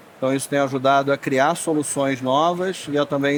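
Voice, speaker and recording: Moderate pace from a man with a fairly high pitch, in a Rio de Janeiro accent. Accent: Rio de Janeiro (carioca). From Rio de Janeiro, Brazil. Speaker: tech industry manager. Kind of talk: panel discussion.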